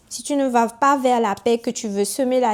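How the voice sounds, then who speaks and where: In a Togolese accent, a woman talks at a fairly slow pace with ordinary pitch variation. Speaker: YouTuber and author. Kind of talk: casual monologue to camera. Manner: animated.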